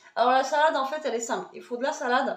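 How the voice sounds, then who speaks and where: The woman's pitch is high, with ordinary pitch variation. Audible room echo surrounds her voice. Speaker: lifestyle vlogger. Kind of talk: casual cooking vlog. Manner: hesitant, many fillers.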